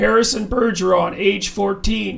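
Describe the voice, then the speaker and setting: In a put-on character voice, a man talks at a high pitch and a moderate pace. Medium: read story.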